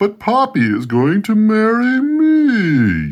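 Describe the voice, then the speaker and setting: This is a put-on character voice. The pace is very slow. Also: man, high pitch for a man. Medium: read story.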